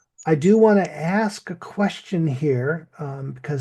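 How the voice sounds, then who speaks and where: A man speaks in a fairly high voice with a dark, mellow tone. He sounds somewhat breathy. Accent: American. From US Midland. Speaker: English teacher. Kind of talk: lesson.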